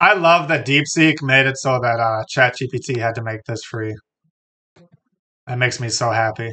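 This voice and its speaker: Bright, sharp tone at a moderate pace, with ordinary pitch variation and long, frequent pauses. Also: man, medium pitch for a man. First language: Spanish. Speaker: streamer. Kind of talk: casual livestream chat. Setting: streaming from home, on the floor. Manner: animated.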